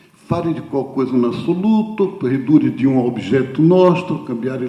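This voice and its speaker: A man talks with lively intonation. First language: Portuguese (speaking Italian). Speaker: theologian speaker. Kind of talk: conference talk. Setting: conference hall with audience. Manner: halting.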